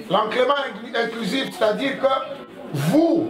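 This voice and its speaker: A man speaks at a fairly slow pace with ordinary pitch variation. The recording has audible room echo and noticeable background noise. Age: 60s. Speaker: blind association president. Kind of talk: address to schoolchildren.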